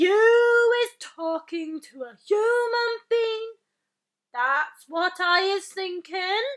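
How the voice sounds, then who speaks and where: A woman's put-on character voice, raised and projected, at an extremely high pitch and a very slow pace. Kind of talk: bedtime story. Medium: read story. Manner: loud, bullying, scornful.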